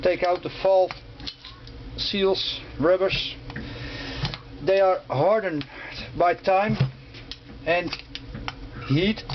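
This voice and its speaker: A man with a non-native accent and a high pitch, at a very slow pace with long, frequent pauses, very even loudness, fairly even intonation and noticeable background noise. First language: not English. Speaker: motorcycle restorer. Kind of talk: tutorial. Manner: halting.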